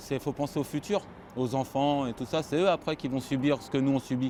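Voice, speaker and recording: Moving at a moderate pace, a man speaks with a fairly high pitch. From France, Paris suburbs. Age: 30s. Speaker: construction laborer. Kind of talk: interview.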